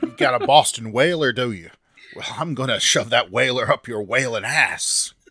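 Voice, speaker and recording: A man puts on a character voice at a medium pitch. He keeps a moderate pace. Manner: bad accent attempt; ranting, aggressive.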